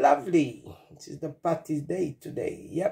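The background is quiet as a man talks with ordinary pitch variation. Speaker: home cook vlogger. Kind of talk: casual vlog chat. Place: kitchen. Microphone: phone near.

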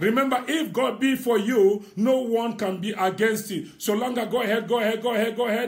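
Over a quiet background, a man talks in a high pitch with fairly even intonation. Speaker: prophet leading online prayer. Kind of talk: fervent prophetic prayer declaration over listeners. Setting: Facebook live stream. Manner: emphatic and rousing, urging listeners on. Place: home room. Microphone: phone near.

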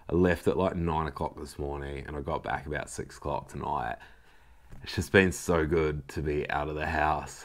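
A man with a very deep, low voice at a moderate pace, against a quiet background. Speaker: vlogger. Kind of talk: casual vlog chat. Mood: earnest, emotional. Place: home room. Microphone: camera far.

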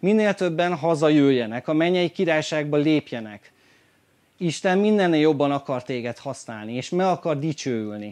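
A man's fairly high voice with lively intonation at a moderate pace over a quiet background. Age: 20s. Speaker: lay preacher. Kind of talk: sermon. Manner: halting. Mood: earnest, encouraging. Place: tent. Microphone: handheld.

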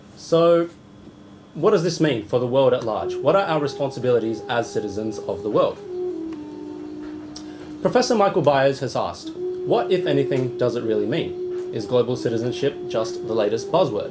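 A man at a moderate pace, with long, frequent pauses and clear music in the background. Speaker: presenter. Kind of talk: presentation.

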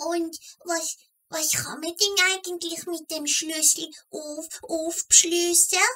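A woman uses a put-on character voice at an extremely high pitch. She speaks at a very slow pace. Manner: whiny, anxious.

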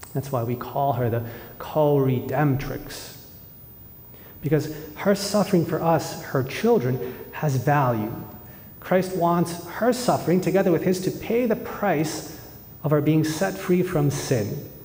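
This man's pitch sits fairly high, and he talks at a fairly slow pace. Audible room echo is present. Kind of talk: homily. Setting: church. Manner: earnest; measured. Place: church. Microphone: podium.

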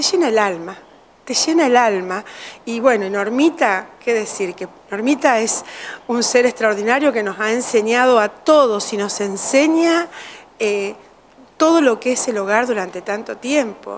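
A woman speaks at a fairly high pitch with lively intonation. Her pace is fairly slow, over light background noise. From Uruguay. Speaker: children's home director. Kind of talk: interview. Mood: warm, grateful. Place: office. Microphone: studio mic.

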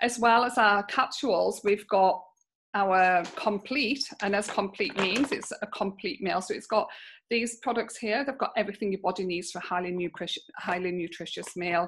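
At a moderate pace, a woman speaks at a medium pitch with ordinary pitch variation over light background noise. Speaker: product presenter for a supplement company. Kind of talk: sales pitch. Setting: video call. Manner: hesitant, many fillers. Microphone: video call.

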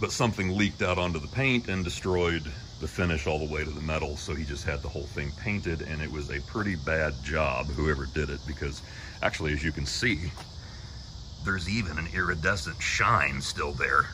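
A man with a very deep, low pitch talks at a fairly quick pace. His ordinary pitch variation sits over light background noise. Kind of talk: casual vlog chat. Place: street. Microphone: phone near.

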